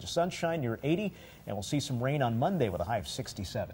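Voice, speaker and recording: A man's medium-pitched, dark, mellow, somewhat breathy voice in an American accent, very fast, with very wide pitch swings. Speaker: television meteorologist and morning show co-host. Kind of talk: local TV morning show weather forecast and banter.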